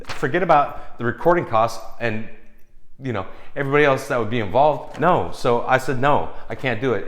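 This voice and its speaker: A man of medium pitch, animated in tone, lively in intonation, at a fairly quick pace, with audible room echo. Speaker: film composer giving advice. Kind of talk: casual vlog advice rant.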